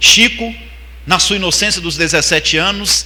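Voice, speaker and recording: A man talks at a fairly quick pace with ordinary pitch variation. Noticeable background noise runs under his voice. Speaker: spiritist lecturer. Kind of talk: religious seminar lecture. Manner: fast.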